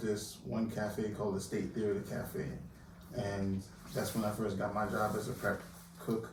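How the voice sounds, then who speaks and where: Audible room echo surrounds a speaker with an American accent who keeps a moderate pace. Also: man. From Jamaica, Kingston; US East Coast from age nine. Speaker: chef. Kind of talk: casual interview.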